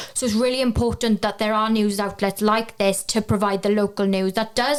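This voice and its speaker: In a Welsh accent, a woman with a medium pitch speaks at a very fast pace. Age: 20s. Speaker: journalism graduate. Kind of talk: interview.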